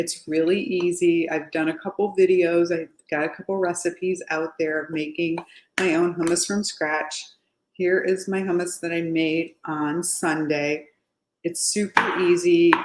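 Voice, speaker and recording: Against noticeable background noise, a woman with a fairly low pitch speaks at a fairly slow pace in a monotone, flat intonation. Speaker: home cooking youtuber. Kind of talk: cooking tutorial. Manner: casual, chatty. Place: kitchen. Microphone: webcam.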